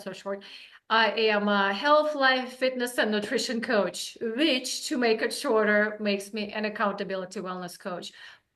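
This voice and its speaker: A woman's fairly high voice with ordinary pitch variation and a Russian accent. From Russia, Saint Petersburg. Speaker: wellness coach. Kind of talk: interview.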